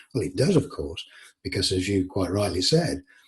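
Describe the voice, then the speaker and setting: This voice, in an English accent, is somewhat breathy. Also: man. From England. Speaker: author. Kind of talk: interview conversation. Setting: call.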